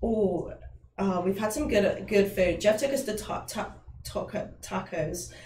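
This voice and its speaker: Someone with a British accent speaks at a fairly slow pace, with audible room echo and light background noise. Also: woman. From England. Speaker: guitarist; guest. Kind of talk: casual Q&A chat. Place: studio.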